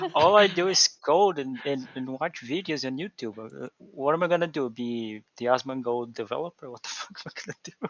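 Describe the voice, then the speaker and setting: A man with a Portuguese accent, fairly quick pace, lively intonation and hardly any pauses. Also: medium pitch for a man, big swings in loudness. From Brazil. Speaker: programmer and VTuber. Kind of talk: casual chat. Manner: halting, many repetitions.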